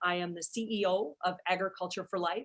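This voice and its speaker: Woman's voice at medium pitch and moderate pace, in an Alberta accent. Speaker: charity CEO, moderator. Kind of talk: webinar moderation.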